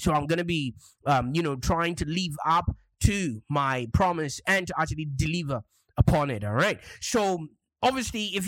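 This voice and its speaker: Over a silent background in a very clean recording, a man talks at a moderate pace in a high pitch with lively intonation. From Zimbabwe. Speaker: podcast host, marketing coach. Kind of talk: solo podcast monologue.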